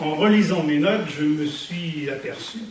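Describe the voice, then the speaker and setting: Amid light background noise and audible room echo, a man talks very slowly at a high pitch with ordinary pitch variation. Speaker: amateur poet. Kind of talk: poetry reading. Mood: warm, humorous. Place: hall. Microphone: camera far.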